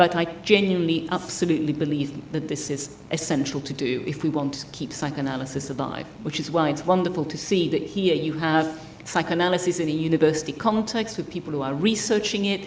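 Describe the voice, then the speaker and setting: A woman with a very deep, low pitch is heard with audible room echo and noticeable background noise. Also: ordinary pitch variation, fairly quick pace. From Italy. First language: Italian. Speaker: psychotherapist trainer. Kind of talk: lecture. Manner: fast.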